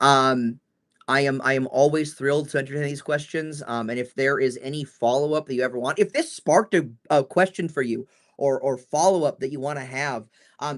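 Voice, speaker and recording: In a quiet background, a man speaks with a fairly high pitch. His pace is fairly quick. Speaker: trainer answering staff questions. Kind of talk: live Q&A. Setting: livestream. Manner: loud; hesitant, many fillers.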